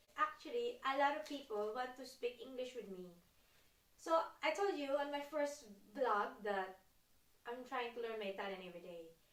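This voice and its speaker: A woman with a non-native accent and a high pitch talks at a moderate pace with lively intonation, big swings in loudness and long, frequent pauses, in audible room echo. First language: not English. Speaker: expat vlogger. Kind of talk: casual vlog talk to camera.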